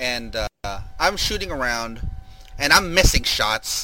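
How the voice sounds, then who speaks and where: A man's voice amid noticeable background noise. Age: 40s. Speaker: sports podcast host. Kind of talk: casual chat.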